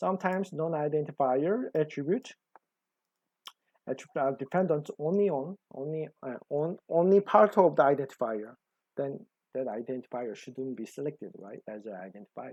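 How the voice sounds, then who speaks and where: At a moderate pace, a woman talks in a very deep, low pitch, with very wide pitch swings and big swings in loudness. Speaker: university lecturer. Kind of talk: lecture; reading aloud. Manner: halting, with repetitions.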